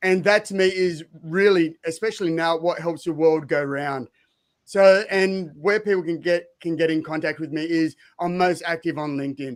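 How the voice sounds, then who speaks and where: The recording is very clean, with a silent background. A man with an Australian accent speaks at a moderate pace in a high pitch, with fairly even intonation. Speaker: speaker and former fighter. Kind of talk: panel discussion.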